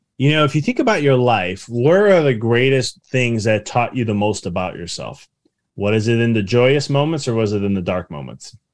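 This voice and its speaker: A man with a Chicago accent speaks at a moderate pace in a medium pitch, his intonation lively against a quiet background. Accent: Chicago American. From US Midwest, Chicago suburbs. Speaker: business mindset coach and author. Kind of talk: interview.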